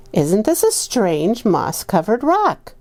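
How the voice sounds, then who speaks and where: Using a put-on character voice, a woman speaks at fairly high pitch and a fairly slow pace. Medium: read story. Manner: sly.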